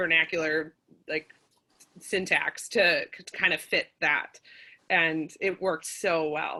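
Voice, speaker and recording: A woman with a strong Midwestern accent, her fairly low voice bright and sharp, at a very slow pace with long, frequent pauses, monotone, flat intonation and big swings in loudness. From Minnesota, US Midwest. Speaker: playwright. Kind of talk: casual chat.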